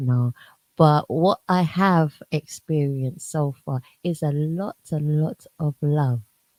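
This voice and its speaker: A woman with a very deep, low pitch and a dark, mellow tone talks at a very slow pace with ordinary pitch variation, in a dry, close sound with no echo. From South London, UK, Jamaican parents. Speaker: radio show host. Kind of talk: interview chat. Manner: animated.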